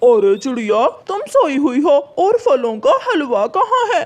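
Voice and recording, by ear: A cartoonish character voice, high-pitched, with very wide pitch swings at a fairly slow pace.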